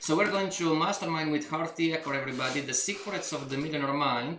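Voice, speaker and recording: A man speaks with a non-native accent. The room echo is audible and there is noticeable background noise. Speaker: coach. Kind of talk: coaching session reading from a book. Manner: halting, with repetitions and restarts.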